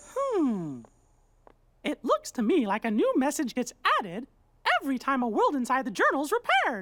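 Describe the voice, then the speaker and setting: A high-pitched, put-on character voice at a moderate pace, broken by long, frequent pauses. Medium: video game.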